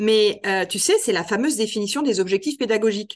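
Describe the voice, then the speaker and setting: Using a normal speaking voice, a woman talks at a moderate pace, her pitch varying in an ordinary way. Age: 50s. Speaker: trainer and author on adult education. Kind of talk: interview.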